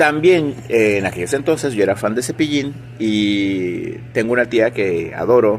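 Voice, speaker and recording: A man talks at a fairly slow pace with a medium pitch and ordinary pitch variation. There is noticeable background noise. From Sinaloa, Mexico. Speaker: music teacher. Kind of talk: interview. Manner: conversational.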